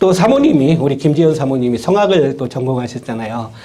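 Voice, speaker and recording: Audible room echo surrounds a man whose fairly high pitch carries a dark, mellow tone. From Korea, Chungcheong (Nonsan). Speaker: university professor. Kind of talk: lecture. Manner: hesitant, many fillers.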